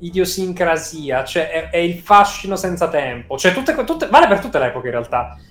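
A high-pitched man talks at a fairly quick pace with lively intonation and hardly any pauses. Noticeable background noise runs underneath. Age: young. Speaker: YouTuber and horror content creator. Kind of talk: casual interview chat.

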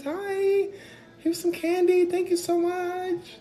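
A man does a put-on character voice in an extremely high pitch, talking at a fairly slow pace with monotone, flat intonation. Clear background noise runs behind him. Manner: overly sweet, polite.

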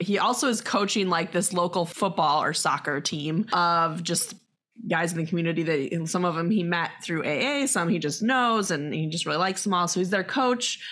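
Here is a woman with an ordinary speaking voice, fairly low in pitch with ordinary pitch variation. She talks at a moderate pace, her loudness very even. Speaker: podcast host. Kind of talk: casual interview chat.

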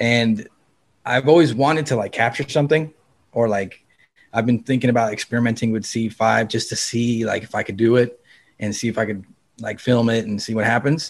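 The recording is very clean, with a silent background. A man speaks fairly quickly with a medium pitch and fairly even intonation in a plain, everyday voice. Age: 30s. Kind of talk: casual chat.

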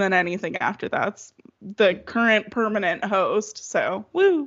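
A woman with an American accent, medium pitch and a moderate pace. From Michigan, Metro Detroit (Waterford). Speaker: podcast guest storyteller, also hosts own podcast. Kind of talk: casual chat. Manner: animated.

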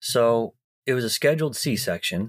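A man talks fairly slowly, his pitch varying in an ordinary way, on a very clean recording with a silent background. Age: 30s. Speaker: caregiver partner. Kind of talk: personal testimony.

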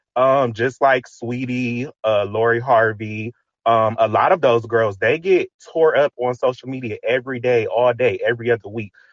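The sound is dry and close with no echo as a man with an ordinary speaking voice talks at a moderate pace, medium in pitch and fairly even in intonation. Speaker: caller. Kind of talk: casual call-in discussion. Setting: online audio room.

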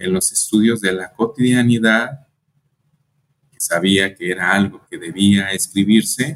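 The man's medium-pitched voice carries lively intonation. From Mexico, Colima. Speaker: historian and author. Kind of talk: interview. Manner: halting, with frequent fillers.

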